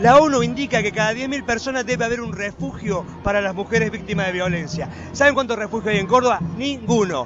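With noticeable background noise behind him, a man talks at a fairly quick pace in a high pitch, using ordinary pitch variation. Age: 50s. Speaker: left-wing political leader. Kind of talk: street interview. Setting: outdoors at a protest march.

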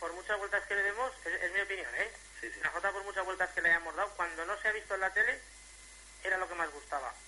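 The speech moves at a fairly quick pace but has long, frequent pauses, with noticeable background noise behind it. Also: man. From Jérica, Valencian region bordering Teruel, Spain. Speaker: jota folk singer. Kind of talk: radio interview.

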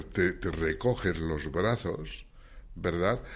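A man speaks. His pace is very slow. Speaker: science section coordinator and children's author. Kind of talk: radio interview.

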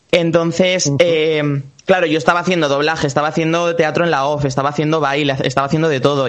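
A man talks very fast with fairly even intonation. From Valencia region, Spain (Puerto de Sagunto). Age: 20s. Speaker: singer and actor. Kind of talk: interview.

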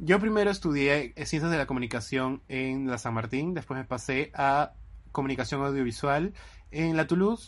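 Against a quiet background, a man with a fairly high pitch uses a plain, everyday voice, ordinary pitch variation and a moderate pace. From Lima, Peru. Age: 20s. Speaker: podcast co-host, actor. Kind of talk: casual chat.

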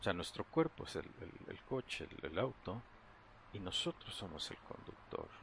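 Very wide pitch swings mark this man's speech. He talks at a fairly slow pace. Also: medium pitch for a man. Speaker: meditation guide. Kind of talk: guided meditation. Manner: halting.

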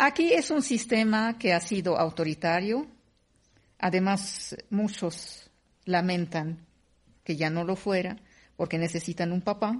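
Against a quiet background, a woman speaks in a somewhat breathy voice at a fairly slow pace, with ordinary pitch variation and long, frequent pauses. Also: medium pitch for a woman. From Syria. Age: 50s. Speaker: writer and radio host. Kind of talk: panel conversation.

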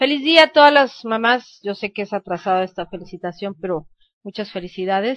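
With a plain, everyday voice, a woman talks at a fairly quick pace in a medium pitch, her intonation lively and her loudness swinging widely. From Mexico. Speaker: news radio host. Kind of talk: news reading.

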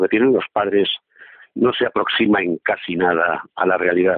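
Using a normal speaking voice, a man talks at a moderate pace with fairly even intonation. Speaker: columnist. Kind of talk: opinion column reading.

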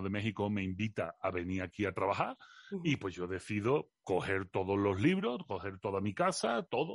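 In an Andalusian accent, a man talks at a fairly low pitch and a moderate pace. The sound is dry and close with no echo against a quiet background. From Seville, Andalusia. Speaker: philosophy communicator. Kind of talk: interview.

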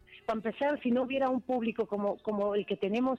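With music in the background, a woman talks at a fairly quick pace in an animated tone, her pitch fairly high, the sound dry and close with no echo. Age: 50s. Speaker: singer. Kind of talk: interview.

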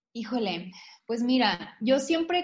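Against a quiet background, a woman speaks at a fairly slow pace. Her voice is somewhat breathy, with ordinary pitch variation. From Tamaulipas, northeastern Mexico. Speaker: natural cosmetics entrepreneur. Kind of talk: interview.

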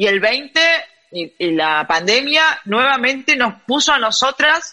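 With a Rioplatense accent, a woman talks at a fairly slow pace in a fairly high, bright, sharp voice with very wide pitch swings. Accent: Argentine Spanish (rioplatense). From Argentina. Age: 30s. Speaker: gender equity in sport advocate. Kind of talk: interview.

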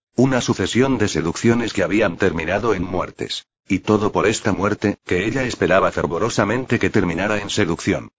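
A man with an ordinary speaking voice, fairly low in pitch, with ordinary pitch variation at a moderate pace. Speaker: audiobook narrator. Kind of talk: dramatic audiobook narration. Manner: suspenseful, gravely theatrical, shifting into tense dialogue voices.

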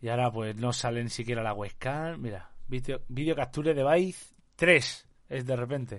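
Here a man speaks very slowly at a medium pitch. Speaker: streamer. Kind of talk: live stream chat. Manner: animated.

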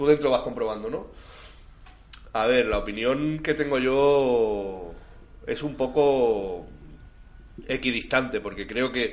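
At a very slow pace, a man speaks with long, frequent pauses. His pitch is medium, with ordinary variation. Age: 30s. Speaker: community radio host. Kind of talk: casual chat.

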